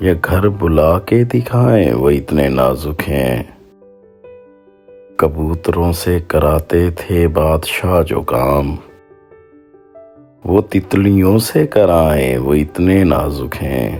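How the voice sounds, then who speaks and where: With music in the background, a man speaks at a very deep, low pitch. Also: ordinary pitch variation. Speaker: poetry voiceover artist. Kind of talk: poetry reading.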